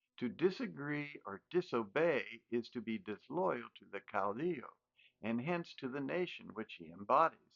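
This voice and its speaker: At a moderate pace, a man with an American accent speaks at a fairly high pitch with very wide pitch swings, vocal fry and big swings in loudness. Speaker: educator. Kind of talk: lecture. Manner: formal.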